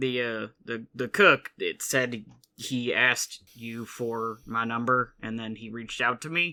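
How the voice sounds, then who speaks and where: A man uses a put-on character voice, quiet and raspy at medium pitch. His intonation is fairly even. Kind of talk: casual, conversational. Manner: lowered, hushed voice.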